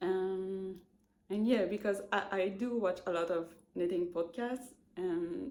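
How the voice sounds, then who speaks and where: The speaker talks at a very slow pace in a Quebec accent. The tone is dark and mellow. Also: woman. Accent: Québécois French accent in English. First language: French. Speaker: knitting podcaster. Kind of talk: casual chat. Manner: halting, many fillers.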